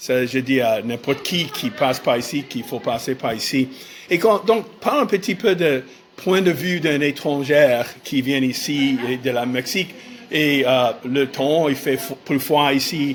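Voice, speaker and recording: The speaker, in an English accent, talks at a fairly slow pace with ordinary pitch variation amid noticeable background noise. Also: man, fairly high pitch for a man. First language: English (speaking French). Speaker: podcast host. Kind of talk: casual interview. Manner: halting, many hesitations.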